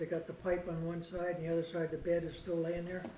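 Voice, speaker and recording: A man rattles along at a very fast pace in a high, monotone, flat voice, with noticeable background noise and audible room echo. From Canada, Royal Oak area of Saanich, Vancouver Island. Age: 80s+. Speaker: local elder sharing family history. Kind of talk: storytelling talk to a small local audience. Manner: conversational, meandering with filler.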